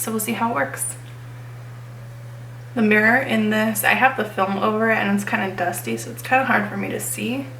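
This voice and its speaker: Over noticeable background noise and audible room echo, a woman talks at a fairly quick pace with long, frequent pauses. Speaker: beauty vlogger. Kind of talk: tutorial. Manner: casual.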